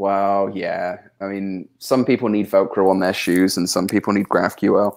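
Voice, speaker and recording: On a very clean recording with a silent background, a man with a West Country accent speaks at a moderate pace in a fairly low, monotone, flat voice. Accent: West Country farmer. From southwest England. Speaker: software developer and tree charity founder. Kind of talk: casual chat. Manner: hesitant, many fillers and repetitions.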